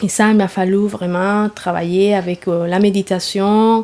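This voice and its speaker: Against noticeable background noise, a woman with a Spanish accent speaks at a fairly slow pace. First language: Spanish (speaking French). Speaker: yoga therapy teacher. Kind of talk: interview. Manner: halting, many hesitations.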